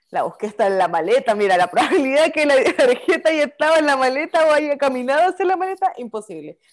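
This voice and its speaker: Against a quiet background, a woman with a Chilean accent speaks very fast and high, with very wide pitch swings and hardly any pauses. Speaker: podcast co-host. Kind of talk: casual chat.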